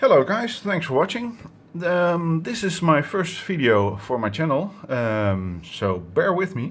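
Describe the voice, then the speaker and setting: A man speaks at a very slow pace with high pitch and very wide pitch swings. Audible room echo surrounds his voice. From Netherlands. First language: Dutch. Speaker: electronics hobbyist YouTuber. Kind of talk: tutorial. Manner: halting, many fillers.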